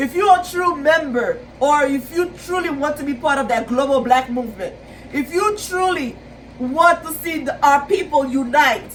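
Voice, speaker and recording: A woman speaks with a Caribbean accent at a high pitch. She keeps a moderate pace and ordinary pitch variation. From Haiti. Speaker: YouTuber, pan-Africanist commentator. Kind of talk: video monologue / commentary. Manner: halting, with fillers and repetitions.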